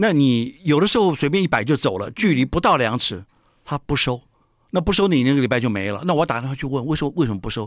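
Talking at a very fast pace, a man with a fairly high pitch makes very wide pitch swings on a very clean recording with a silent background. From Taiwan. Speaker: author. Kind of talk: interview.

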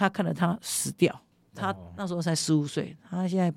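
Vocal fry runs through an animated tone delivered at a fairly quick pace on a very clean recording with a silent background. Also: woman. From Kinmen, Taiwan. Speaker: legislator. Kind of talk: interview.

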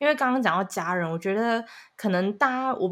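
Very fast, lively intonation, captured in a very clean recording with a silent background. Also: woman. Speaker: podcast producer and co-host, student abroad. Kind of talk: casual chat.

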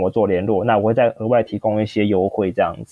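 Medium in pitch, a man talks with a Taiwanese accent. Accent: Taiwanese Mandarin. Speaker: freelance coach. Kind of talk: podcast interview.

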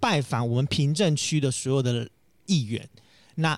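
Delivery comes at a moderate pace from a male speaker. The background is silent, making for a very clean recording. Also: dry, close sound with no echo. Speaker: candidate for neighborhood chief. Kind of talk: casual interview chat.

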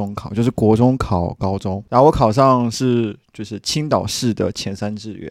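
On a very clean recording with a silent background, a man speaks with medium pitch and ordinary pitch variation. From China, Qingdao. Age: 30s. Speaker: PhD student. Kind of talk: casual chat.

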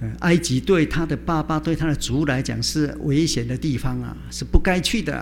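A man with a Chinese accent talks at a moderate pace with hardly any pauses. Room echo is audible, and background noise is noticeable. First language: Mandarin Chinese. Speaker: preacher. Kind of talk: sermon.

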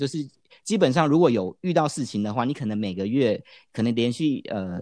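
With a Taiwanese accent, a man speaks at a medium pitch and moderate pace in a dark, mellow tone with very wide pitch swings over a quiet background. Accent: clear Taiwanese Mandarin. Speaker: business professional who worked in mainland China. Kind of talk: casual chat.

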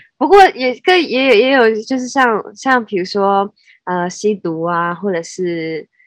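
Against a quiet background, a woman with a fairly high voice speaks at a very slow pace. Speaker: podcast co-host. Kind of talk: casual chat. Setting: remote call.

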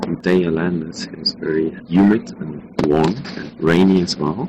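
Clear noise can be heard in the background. Over it, a man talks. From Hamburg, Germany. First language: German. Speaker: law student. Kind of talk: recorded voice message.

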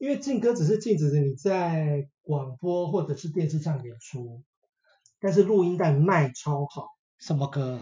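Here is a man with an ordinary speaking voice, fairly high in pitch. He talks at a fairly slow pace with lively intonation. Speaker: podcast guest. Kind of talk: casual chat.

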